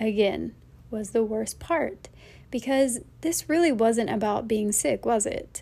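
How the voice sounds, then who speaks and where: Very slowly, a woman speaks with an American accent. Her pitch varies in an ordinary way. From United States. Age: 30s. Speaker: podcast host. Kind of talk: personal storytelling. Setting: small apartment in quarantine.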